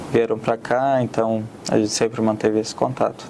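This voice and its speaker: A man with an Arabic accent talks at a moderate pace in a monotone, flat intonation. Noticeable background noise runs underneath. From Syria, Aleppo. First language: Arabic (speaking Portuguese). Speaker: immigrant, student. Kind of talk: interview.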